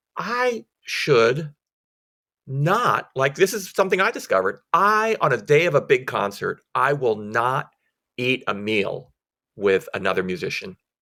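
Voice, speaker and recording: With a bright, sharp tone, a man's fairly high voice moves through very wide pitch swings. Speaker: orchestra concertmaster and violin teacher. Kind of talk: casual interview chat. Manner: talks a thousand miles an hour.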